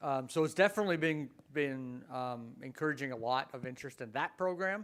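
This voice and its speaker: In a very clean recording with a silent background, a man with a fairly high pitch speaks at a fairly quick pace with ordinary pitch variation. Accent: slight Canadian. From Canada, Ontario. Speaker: professor. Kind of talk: Q&A after a talk.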